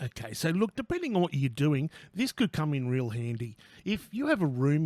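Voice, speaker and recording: An Australian accent marks this man's moderate-paced speech, recorded very clean against a silent background, with a dry, close sound and no echo. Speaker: tradesman. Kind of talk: product review to camera. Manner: casual, sweary, joking.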